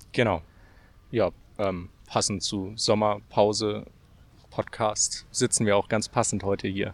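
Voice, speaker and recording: A man speaks at a very slow pace and a fairly low pitch. His delivery is monotone and flat, with long, frequent pauses. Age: 20s. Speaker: meteorologist. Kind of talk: casual chat. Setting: outdoors in a park.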